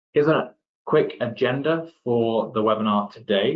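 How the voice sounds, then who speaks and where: With an English accent, a man talks at a fairly slow pace. His pitch is medium. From England, Derby (East Midlands). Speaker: application engineer. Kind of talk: webinar presentation.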